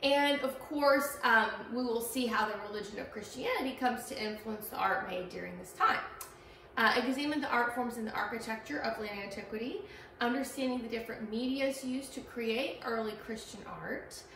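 Her pitch sits high and her pace is fairly quick, with fairly even intonation. The woman is recorded with light background noise and audible room echo. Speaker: art history instructor. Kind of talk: lecture. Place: classroom. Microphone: camera far.

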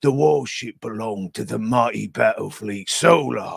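Using a put-on character voice, a man talks at a medium pitch and a moderate pace. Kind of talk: grand, epic narration. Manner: dramatic, portentous.

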